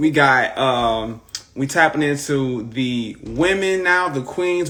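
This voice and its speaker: A man speaks with a St. Louis accent and a fairly high pitch. His tone is animated, with ordinary pitch variation. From US Midwest, St. Louis. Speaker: podcast host. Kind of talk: casual interview on Instagram live. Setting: video livestream.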